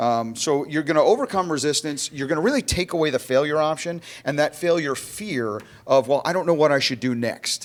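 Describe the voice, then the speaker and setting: A man with an American accent talks at a fairly quick pace in a fairly high voice. His pitch varies in an ordinary way. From South Florida. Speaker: conference speaker. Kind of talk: conference presentation. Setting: stage with audience. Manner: fast.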